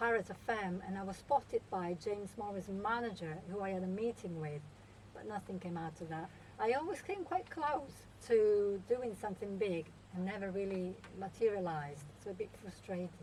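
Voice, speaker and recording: A woman speaks with an Italian accent. Her pace is moderate. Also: medium pitch for a woman, ordinary pitch variation. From Italy, Milan. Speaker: singer-songwriter. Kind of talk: radio interview.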